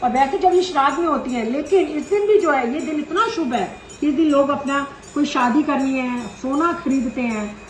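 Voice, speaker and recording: Over noticeable background noise and audible room echo, a woman talks at a moderate pace in a high voice with lively intonation. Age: 60s. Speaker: YouTuber, dietician. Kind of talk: storytelling.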